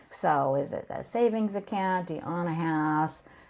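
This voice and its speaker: A normal speaking voice with an American accent at a moderate pace, on a very clean recording with a silent background. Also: woman. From California. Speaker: financial coach for seniors. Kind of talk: explanatory interview talk.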